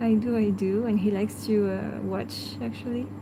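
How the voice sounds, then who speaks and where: A woman with a French accent speaks at a moderate pace. The audio has audible room echo and noticeable background noise. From France. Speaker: pet channel host. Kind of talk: live stream chat. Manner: halting.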